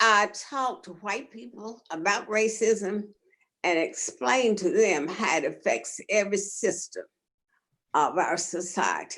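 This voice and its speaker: A woman speaks very slowly at a medium pitch, with vocal fry and lively intonation. Her loudness swings widely. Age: 90. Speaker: retired teacher. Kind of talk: panel discussion.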